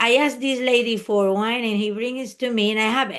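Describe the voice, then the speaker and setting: Against a quiet background, a woman with a Spanish accent speaks at a moderate pace in a fairly high pitch, her intonation monotone and flat. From Spain. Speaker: private jet flight attendant. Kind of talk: interview. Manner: halting.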